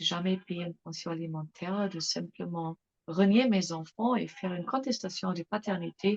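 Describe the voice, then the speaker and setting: A woman with a non-native accent sounds somewhat breathy in a dry, close recording with no echo. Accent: foreign accent in French. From England and Germany. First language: English or German (speaking French). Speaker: mother giving testimony. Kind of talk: interview testimony. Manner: hesitant, many fillers.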